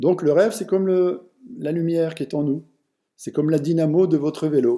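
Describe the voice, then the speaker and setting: A man speaks at a moderate pace. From France, Vosges. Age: 60s. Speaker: personal development speaker. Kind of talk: online lecture. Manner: halting, with many fillers.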